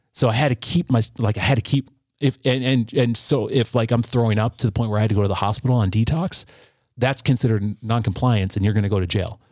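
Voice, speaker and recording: Somewhat breathy and very even in loudness, a man speaks at a very fast pace and medium pitch with ordinary pitch variation, in a dry, close sound with no echo. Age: 40s. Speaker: recovering addict and musician sharing life story. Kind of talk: testimony.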